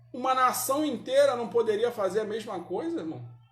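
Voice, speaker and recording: The speaker sounds animated. An audible room echo surrounds the voice. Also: man. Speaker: Sunday school Bible teacher. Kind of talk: Bible class teaching. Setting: church, live-streamed. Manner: animated, rhetorical questions.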